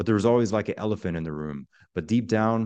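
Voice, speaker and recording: A normal speaking voice from a man, fairly low in pitch, with lively intonation. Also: quiet background. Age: 30s. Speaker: army veteran turned life coach. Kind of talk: interview.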